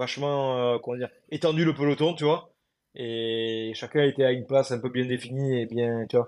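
A man's normal speaking voice, a normal speaking voice at medium pitch, fairly even in intonation, at a moderate pace against a quiet background. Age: 20s. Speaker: adaptive CrossFit athlete. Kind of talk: interview.

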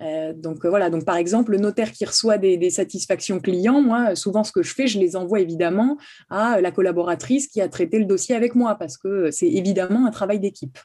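A woman's dark, mellow voice of medium pitch, fairly quick, with ordinary pitch variation. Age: 30s. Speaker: notary. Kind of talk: interview. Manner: halting, many repetitions.

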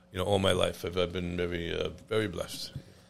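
Talking at a fairly quick pace, a man with an American accent and a very deep, low pitch keeps a monotone, flat intonation. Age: 60s. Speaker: chef and restaurant owner. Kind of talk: casual interview chat.

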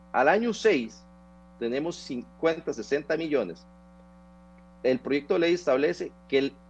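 A man with a Costa Rican accent speaks in an animated tone with lively intonation. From Costa Rica, Turrialba. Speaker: tax lawyer. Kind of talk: radio interview.

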